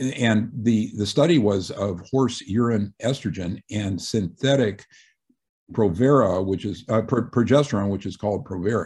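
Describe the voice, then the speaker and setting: Against a quiet background, a man with a fairly low pitch speaks somewhat breathily at a fairly slow pace with ordinary pitch variation. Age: 60s. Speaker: retired physician and author. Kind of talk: radio interview.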